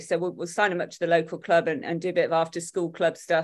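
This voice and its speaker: A woman's fairly low voice in an East Midlands accent at a fairly quick pace, against a quiet background. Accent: Derby East Midlands English. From Derby, England. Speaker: tennis parent, Facebook group admin. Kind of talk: casual interview.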